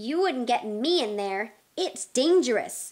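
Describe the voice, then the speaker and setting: In a put-on character voice, a woman growls at a high pitch and a fairly slow pace. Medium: read story.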